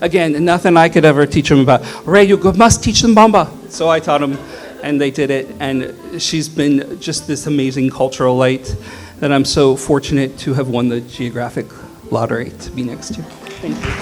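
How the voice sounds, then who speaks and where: An American accent at a moderate pace, with ordinary pitch variation and noticeable background noise. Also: man, fairly high pitch for a man. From Seattle, US Pacific Northwest. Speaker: neighbor giving eulogy. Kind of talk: memorial tribute speech.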